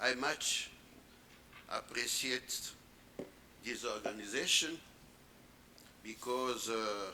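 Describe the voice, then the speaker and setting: Speech in a non-native accent moves at a very slow pace, with long, frequent pauses and fairly even intonation. Audible room echo surrounds the voice. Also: man, medium pitch for a man. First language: French. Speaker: conference panelist. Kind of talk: conference panel talk. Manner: halting.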